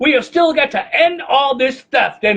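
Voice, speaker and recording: A man speaks at an extremely high pitch with an intense tone. His intonation is lively and his pace moderate. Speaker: slam poet. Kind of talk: slam poetry performance. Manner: intense, rhythmic.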